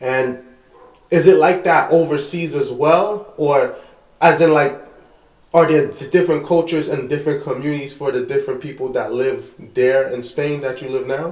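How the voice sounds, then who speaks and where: Speaking with a New York accent, a man uses a fairly high pitch and fairly even intonation at a moderate pace. Long, frequent pauses break up his speech, and audible room echo is present. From Brooklyn, New York. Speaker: podcast host. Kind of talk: casual chat.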